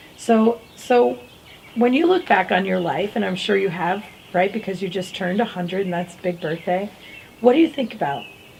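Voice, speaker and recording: Noticeable background noise sits under a woman speaking in a medium pitch with lively intonation. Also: moderate pace. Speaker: motivational show host. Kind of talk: interview questions.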